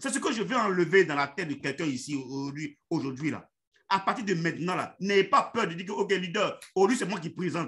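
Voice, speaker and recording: The voice has a bright, sharp tone and lively intonation. It moves at a fairly quick pace. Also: man. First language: Yacouba (Dan) (speaking French). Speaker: network marketing leader. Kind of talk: motivational online meeting talk. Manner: halting, many fillers and repetitions.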